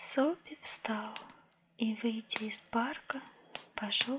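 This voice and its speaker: A soft-spoken woman with a fairly high pitch and ordinary pitch variation, at a very slow pace over noticeable background noise. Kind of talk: audiobook-style story reading, ASMR. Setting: cozy indoor reading with crackling fireplace sounds. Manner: soft-spoken, calm, measured.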